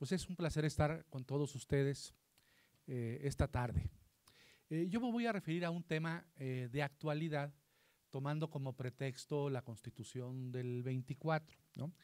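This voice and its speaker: A man's fairly high voice at a fairly slow pace, ordinary pitch variation and a quiet background. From northern Mexico, Coahuila. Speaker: constitutional law scholar; panelist. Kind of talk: panel talk. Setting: library event with audience. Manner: halting. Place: hall.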